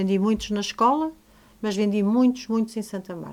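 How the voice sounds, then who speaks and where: Over a very clean recording with a silent background, a woman speaks at a moderate pace. Her medium pitch varies in the ordinary way, and her tone is dark and mellow. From northern Portugal. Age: 60s. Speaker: teacher and author. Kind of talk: interview.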